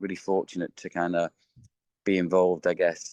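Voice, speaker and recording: The man has an English accent. His sound is dry and close, with no echo. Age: 50s. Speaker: behavioural science consultant. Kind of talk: interview. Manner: halting, lots of fillers and repeats.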